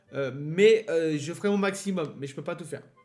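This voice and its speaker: Over music in the background, a man speaks at a fairly slow pace with lively intonation. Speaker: let's play gamer. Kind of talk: gameplay commentary. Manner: hesitant, many fillers.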